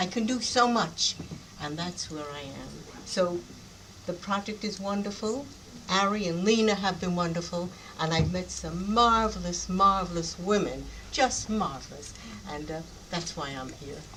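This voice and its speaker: Amid audible room echo, a woman with a fairly low pitch speaks with long, frequent pauses and big swings in loudness. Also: ordinary pitch variation, moderate pace. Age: 80s+. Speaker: style icon, retired magazine worker. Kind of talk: panel Q&A after screening.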